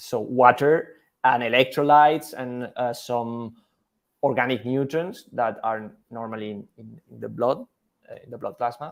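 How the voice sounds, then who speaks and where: The voice belongs to a man speaking at a fairly slow pace and medium pitch with fairly even intonation. His loudness swings widely on a very clean recording with a silent background. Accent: Spanish. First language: Spanish. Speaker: scientist. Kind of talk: interview. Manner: halting.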